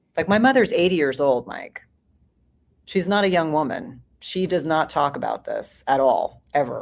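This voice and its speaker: Recorded very cleanly with a silent background, a woman with a fairly low pitch speaks at a moderate pace, her pitch swinging very widely. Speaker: women's health clinician and author. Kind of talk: panel discussion.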